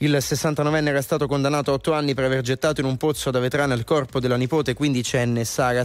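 Speaking at a fairly quick pace, a man keeps a fairly high pitch in a monotone, flat intonation. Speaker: radio host. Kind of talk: casual chat. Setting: studio.

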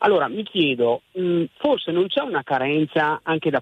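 A man talks at a fairly slow pace. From northern Italy. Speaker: caller. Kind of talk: radio call-in. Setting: phone call. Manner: hesitant.

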